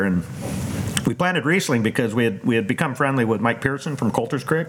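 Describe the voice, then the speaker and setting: A medium-pitched male voice over noticeable background noise. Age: 50s. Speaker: vineyard owner. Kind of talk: casual chat. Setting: outdoors.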